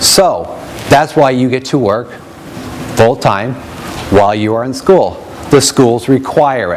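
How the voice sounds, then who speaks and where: A man speaks at a medium pitch with ordinary pitch variation, going fairly slowly with long, frequent pauses. Noticeable background noise sits behind him. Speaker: education program representative. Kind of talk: presentation to an audience. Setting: room with live audience, no microphone. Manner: loud.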